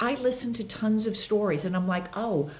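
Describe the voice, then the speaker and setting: An animated woman with an American accent talks at a moderate pace, her medium-pitched voice showing lively intonation against audible room echo. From Los Angeles. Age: 60s. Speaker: actress and author. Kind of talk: podcast interview.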